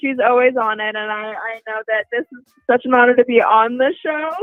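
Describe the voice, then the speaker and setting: With a General American accent and an enthusiastic tone, a woman speaks at a moderate pace and fairly high pitch over music in the background. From Denver, Colorado. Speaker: actress and makeup artist. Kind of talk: live radio interview.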